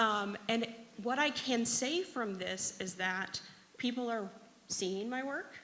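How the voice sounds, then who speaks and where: Bright and sharp in tone, a woman with a fairly high voice speaks very slowly with lively intonation amid audible room echo. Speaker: data librarian. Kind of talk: conference talk.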